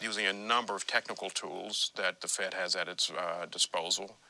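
Using an ordinary speaking voice, a man talks at a moderate pace and fairly low pitch with fairly even intonation. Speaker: former central bank official, interviewee. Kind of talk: radio interview.

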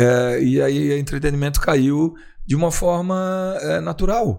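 A man with an ordinary speaking voice, fairly high in pitch, lively intonation. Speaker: nightclub founder and entrepreneur. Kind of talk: interview.

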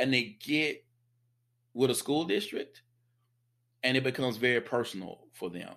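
A man with an American accent speaks at a moderate pace in a bright, sharp tone, using medium pitch, ordinary pitch variation and long, frequent pauses, on a very clean recording with a silent background. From US South. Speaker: instructional technologist and podcaster. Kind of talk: casual interview.

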